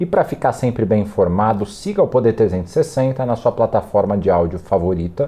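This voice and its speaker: With a dark, mellow tone, a man speaks at a moderate pace over a quiet background. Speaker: journalist interviewer. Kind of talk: interview; scripted announcement. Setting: studio.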